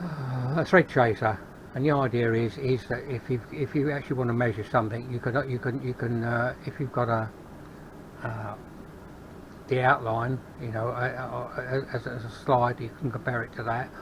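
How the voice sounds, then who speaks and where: A man with a London accent speaks at a moderate pace in a medium-pitched, somewhat breathy voice with fairly even intonation. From England, London. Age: 70s. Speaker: hobby metalworker YouTuber. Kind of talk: workshop tour. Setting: garage workshop. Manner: halting, many fillers and repeats; casual.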